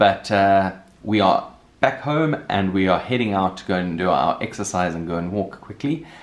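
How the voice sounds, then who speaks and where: Speaking at a moderate pace, a man has a fairly low pitch. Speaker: vlogger. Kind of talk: casual vlog chat. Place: home room. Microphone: phone near.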